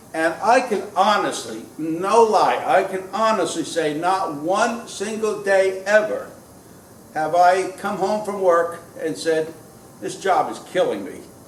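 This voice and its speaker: A man talks very slowly at a high pitch with ordinary pitch variation. Audible room echo and noticeable background noise surround him. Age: 60s. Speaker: woodworker and cabinet maker vlogger. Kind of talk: casual vlog monologue. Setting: woodworking shop. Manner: hesitant, many fillers.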